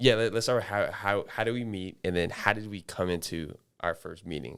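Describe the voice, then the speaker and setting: Here is a normal speaking voice from a man with an American accent, pitched fairly low with ordinary pitch variation. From US South, Atlanta. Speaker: podcast co-host, former college athlete. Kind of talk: casual chat.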